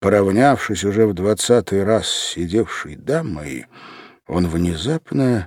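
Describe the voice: What you hear is someone plainly reading aloud.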